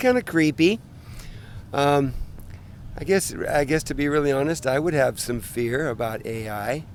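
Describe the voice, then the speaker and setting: A man with an unremarkable speaking voice and a fairly high pitch talks at a moderate pace, his intonation lively. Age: 60s. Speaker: passer-by interviewee. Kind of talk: street interview. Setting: outdoors in a park.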